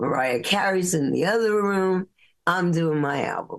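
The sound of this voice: At a fairly slow pace, a woman talks with a fairly low pitch and ordinary pitch variation.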